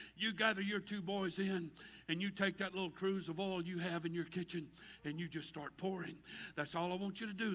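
Here a man talks at a very fast pace. His tone is animated and his pitch is high. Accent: Southern US. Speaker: preacher. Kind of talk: sermon. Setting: church with congregation. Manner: animated, rousing call-and-response delivery, repetitive and fervent.

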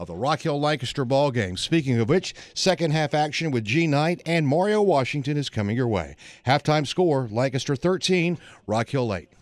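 A man with an unremarkable speaking voice talks fairly quickly at a fairly high pitch. His intonation is lively, and the recording is very clean with a silent background. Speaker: sports news anchor. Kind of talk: news reading of halftime scores. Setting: studio. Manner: brisk, formal.

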